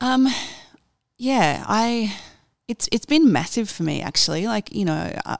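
In an Australian accent, a woman talks at a moderate pace with lively intonation. The recording is very clean with a silent background, and the sound is dry and close with no echo. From Australia, Sydney. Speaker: radio executive. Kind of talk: interview. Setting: office.

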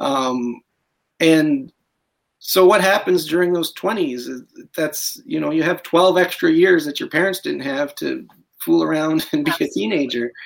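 A Canadian accent and an unremarkable speaking voice. The pace is moderate, with ordinary pitch variation. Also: man, fairly high pitch for a man. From Alberta, Canada. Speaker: novelist. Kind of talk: interview.

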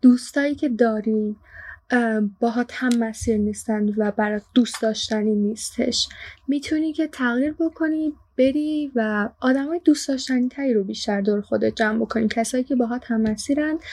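A woman speaks at a high pitch with ordinary variation. Her pace is moderate. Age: young, 19. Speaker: student intern. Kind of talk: casual chat.

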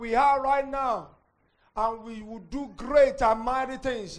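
A man talks at a fairly slow pace, his pitch varying in an ordinary way. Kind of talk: prayer and sermon. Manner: earnest, exhorting.

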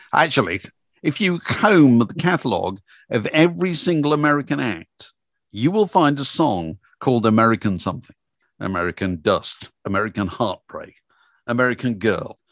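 A man speaks with an English accent at medium pitch and a moderate pace. His pitch swings very widely over a quiet background. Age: 70s. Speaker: music journalist and author. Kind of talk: interview.

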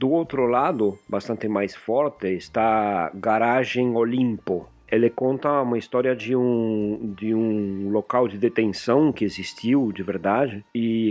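In an Argentine accent, a man speaks very slowly at medium pitch with hardly any pauses. His pitch varies in an ordinary way. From Argentina, Buenos Aires. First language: Spanish (speaking Portuguese). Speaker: podcaster. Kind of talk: casual chat.

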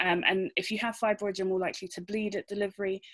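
On a very clean recording with a silent background, a woman with a British accent speaks at a fairly high pitch. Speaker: obstetrician. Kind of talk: panel discussion.

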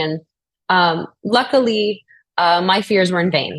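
A normal speaking voice from a woman, medium in pitch, with ordinary pitch variation and a quiet background. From US South, New Orleans. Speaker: actress. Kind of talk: interview.

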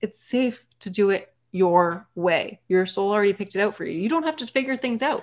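A woman with an American accent and a normal speaking voice, lively intonation, at a moderate pace. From Massachusetts. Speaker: human design reader and life coach. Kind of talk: interview conversation.

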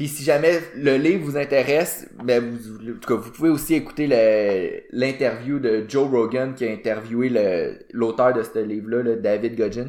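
A man with a medium-pitched voice speaks at a fairly slow pace, using ordinary pitch variation and hardly any pauses. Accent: Quebec. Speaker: fitness podcast co-host. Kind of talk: casual chat. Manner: hesitant, many fillers.

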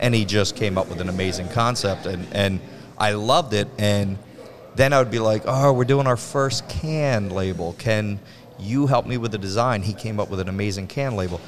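Noticeable background noise runs behind a man with a fairly low pitch. He speaks at a moderate pace with ordinary pitch variation. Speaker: brewery owner. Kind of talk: casual interview. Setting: on site at a brewery.

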